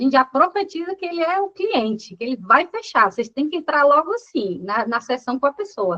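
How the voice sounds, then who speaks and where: A woman's high-pitched, raised, projected voice swings very widely in pitch. She talks at a fairly quick pace with hardly any pauses. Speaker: business coach. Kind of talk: lecture.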